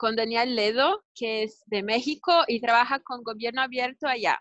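A woman speaks in a Brazilian accent at a fairly slow pace. Her pitch is high. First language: Portuguese (speaking Spanish). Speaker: webinar host. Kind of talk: online interview / panel talk. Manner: halting.

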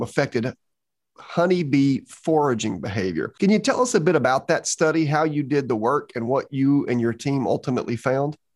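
Using a plain, everyday voice, a man speaks fairly quickly at a fairly high pitch with lively intonation against a quiet background. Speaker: podcast host, bee researcher. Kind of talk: interview and advice.

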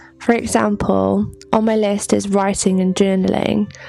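A woman speaks at a moderate pace. There is music in the background. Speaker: podcast host. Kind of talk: solo self-help talk.

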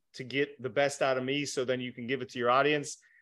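In a quiet background, a man uses an ordinary speaking voice at a medium pitch with fairly even intonation. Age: 30s. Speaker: life coach and motivational speaker. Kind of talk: casual interview.

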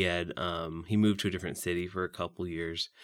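A man speaks with a Midwestern American accent, his pitch very deep and low and his intonation monotone and flat. The recording is very clean, with a silent background. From US Midwest, Saint Joseph, Missouri. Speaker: young adult churchgoer. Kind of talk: faith testimony interview. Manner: hesitant, many fillers.

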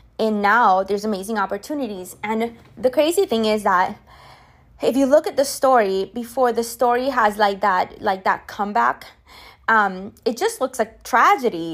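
A woman with a non-native accent, fairly high-pitched, at a moderate pace with ordinary pitch variation, on a very clean recording with a silent background. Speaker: podcast host. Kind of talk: solo monologue podcast, casual coaching talk. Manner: conversational, chatty, with fillers.

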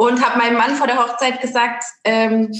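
A woman speaks at a high pitch. Audible room echo is present. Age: 30s. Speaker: network marketing saleswoman. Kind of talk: casual interview. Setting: home office.

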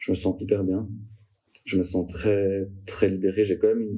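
In a very clean recording with a silent background, a man with a very deep, low pitch and a dark, mellow tone speaks at a moderate pace, sounding somewhat breathy. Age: 20s. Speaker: career changer sharing his story. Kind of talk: personal testimony interview. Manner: hesitant, many fillers.

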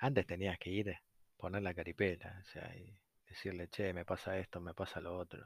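A man's very deep, low voice at a moderate pace, monotone and flat, with big swings in loudness, dry and close with no echo on a very clean recording with a silent background. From Argentina. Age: 30s. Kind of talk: casual monologue. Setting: at home on a sofa. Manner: halting, many fillers.

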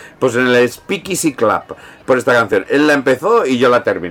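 An animated man with lively intonation over noticeable background noise. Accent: Peninsular Spanish. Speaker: podcast host. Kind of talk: casual chat.

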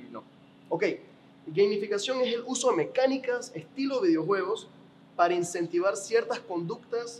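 His pitch sits high as this man talks at a moderate pace. The intonation rises and falls in a lively way. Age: 20s. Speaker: podcast host. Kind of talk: interview.

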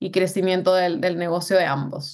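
A woman speaks at medium pitch. The background is quiet. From Colombia, Bogotá. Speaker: delivery app restaurant manager. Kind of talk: interview.

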